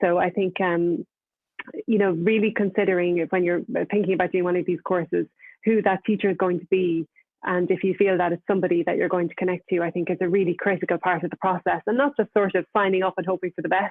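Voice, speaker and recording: A woman with an Irish accent talks at a very fast pace. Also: medium pitch for a woman, fairly even intonation. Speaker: novelist. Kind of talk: panel discussion. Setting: online video event.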